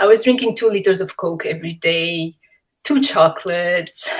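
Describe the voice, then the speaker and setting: A woman with a Romanian accent, medium in pitch, with ordinary pitch variation. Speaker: MS patient sharing her story. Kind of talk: testimony.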